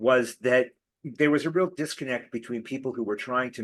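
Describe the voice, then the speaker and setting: A man with an American accent talks at a moderate pace with ordinary pitch variation. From California. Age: 60s. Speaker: political activist and advocacy trainer. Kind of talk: talk to an online group.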